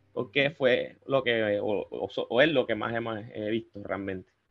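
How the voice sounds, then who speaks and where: An ordinary speaking voice, with ordinary pitch variation, moves at a fairly slow pace. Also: man. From Colombia, Cartagena (Caribbean coast). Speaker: paranormal investigator and chemical engineer. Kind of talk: casual chat.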